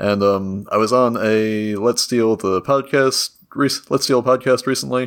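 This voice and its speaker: At a fairly slow pace, a man with a normal speaking voice keeps fairly even intonation and very even loudness in a very clean recording with a silent background. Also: medium pitch for a man. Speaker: podcast panelist. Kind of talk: casual chat.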